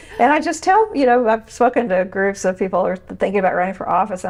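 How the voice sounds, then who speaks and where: Over noticeable background noise, a woman with an Oklahoma accent speaks at a very fast pace, her fairly high pitch carried by lively intonation. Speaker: podcast host, former state legislator. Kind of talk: interview. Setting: podcast interview. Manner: animated.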